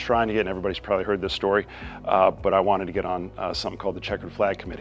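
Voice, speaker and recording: A man's fairly low voice at a very fast pace, fairly even in intonation, with music in the background. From Florida, Daytona Beach area. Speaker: business owner. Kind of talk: interview monologue. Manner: casual, hesitant with many fillers.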